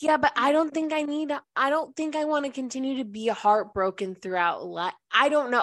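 Against a quiet background, a woman speaks loudly in an animated, bright, sharp tone. Her pitch swings very widely. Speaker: podcast co-host. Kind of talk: casual chat. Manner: animated, laughing often.

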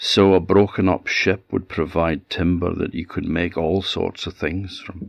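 In an Orkney accent, a man speaks at a fairly slow pace in a very deep, low voice with a warm, dramatic tone and flat, monotone intonation, recorded very cleanly against a silent background. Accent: Orcadian Scots. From Orkney, Scotland. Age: 60. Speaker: storyteller. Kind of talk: fireside folk-tale storytelling, a true shipwreck legend told aloud. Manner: unhurried, vivid narrative pacing with dramatic emphasis on peril; warm, conversational asides in dialect.

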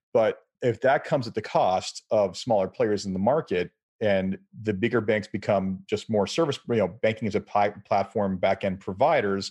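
With a normal speaking voice, a man talks at a moderate pace with fairly low pitch and ordinary pitch variation against a quiet background. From Canada. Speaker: podcast host. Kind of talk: panel interview.

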